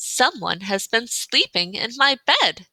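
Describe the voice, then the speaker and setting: Using a put-on character voice, a woman speaks at a fairly slow pace in a fairly high pitch. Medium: read story.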